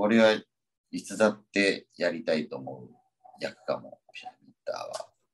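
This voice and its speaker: Loudness rises and falls sharply as a man speaks fairly slowly. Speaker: stage actor. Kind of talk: casual chat.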